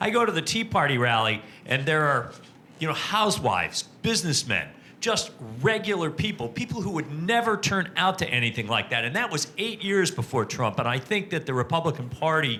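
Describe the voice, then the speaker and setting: Noticeable background noise runs under a man's fairly high voice. He talks fairly quickly, his pitch swinging very widely. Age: 60s. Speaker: audience member. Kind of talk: audience question.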